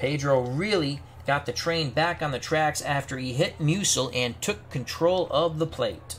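In a plain, everyday voice, a man with a fairly high pitch talks at a fairly slow pace with hardly any pauses and ordinary pitch variation. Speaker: sports video creator playing a tabletop baseball replay game and calling it. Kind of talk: live-style sports commentary calling a tabletop baseball replay game.

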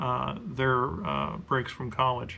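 Light background noise sits behind a man who talks at a fairly slow pace. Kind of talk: casual vlog chat. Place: workshop.

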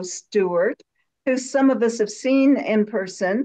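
With an American accent and ordinary pitch variation, a woman speaks at a fairly slow pace against a quiet background. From US Midwest. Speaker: forum moderator. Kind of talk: moderated discussion. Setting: video call. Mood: warm, welcoming. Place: home room. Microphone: video call.

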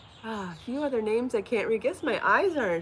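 Over light background noise, a woman talks at a fairly quick pace with very wide pitch swings. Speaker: knitting and crochet designer and podcast host; podcast host. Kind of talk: casual live-stream chat. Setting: outdoors. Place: home room. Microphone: phone near.

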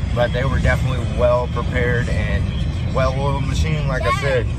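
A man at a moderate pace, dry sound with no echo, loud music in the background. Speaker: parent vlogger. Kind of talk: casual vlog chat. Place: car. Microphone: phone near.

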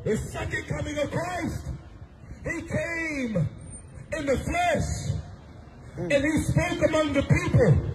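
In an American accent, someone speaks at a very slow pace with long, frequent pauses over loud background noise. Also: man. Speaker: street preacher. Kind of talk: street preaching sermon. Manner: loud, forceful, exhortative. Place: street. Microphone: handheld.

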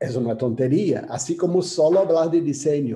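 A man with a Brazilian accent has a fairly high voice and a dark, mellow tone. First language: Portuguese (speaking Spanish). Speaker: graphic designer, author and curator; panelist, design educator. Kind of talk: presentation. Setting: video call. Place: home room. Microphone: video call.

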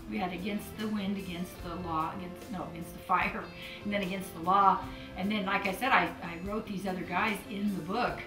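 A woman at a moderate pace with fairly even intonation, clear music in the background. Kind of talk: interview answer. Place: home room.

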